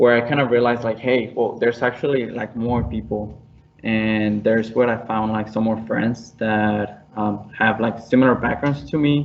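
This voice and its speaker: A man's medium-pitched voice with a Spanish accent, at a moderate pace with fairly even intonation. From Mexico. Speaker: engineering student. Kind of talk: panel discussion. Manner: halting, many fillers.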